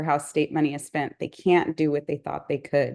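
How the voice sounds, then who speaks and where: A woman's voice against a quiet background. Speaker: forum moderator. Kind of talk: reading questions. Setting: video call.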